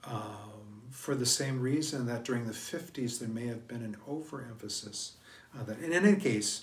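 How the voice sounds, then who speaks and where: Ordinary pitch variation in a room with audible echo. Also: man. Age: 60s. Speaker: priest. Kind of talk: sermon. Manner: halting.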